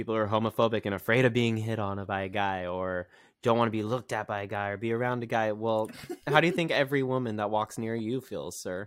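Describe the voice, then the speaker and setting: At a fairly quick pace, a man with an American accent speaks in a plain, everyday voice, fairly low in pitch with ordinary pitch variation. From California. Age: 30s. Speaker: TikTok creator. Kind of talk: casual chat.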